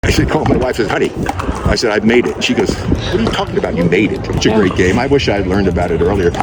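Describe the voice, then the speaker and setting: A man with an American accent talks at a very fast pace in an animated tone, his pitch fairly low. Noticeable background noise runs under his speech. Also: ordinary pitch variation. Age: 80s+. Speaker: retired basketball player and pickleball competitor. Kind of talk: interview answer. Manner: casual, animated storytelling.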